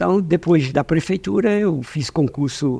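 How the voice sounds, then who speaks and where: Very slow speech with a dark, mellow tone and ordinary pitch variation over a quiet background. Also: man. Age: 70s. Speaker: business owner, former public finance official. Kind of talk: interview.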